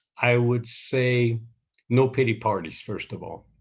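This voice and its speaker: Here is a man speaking. His pace is very slow. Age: 70s. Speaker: businessman. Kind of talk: interview.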